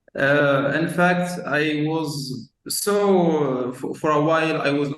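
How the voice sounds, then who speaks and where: A man is speaking. He has a non-native accent. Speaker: marketing agency owner. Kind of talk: casual chat. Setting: video call. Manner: halting, many fillers.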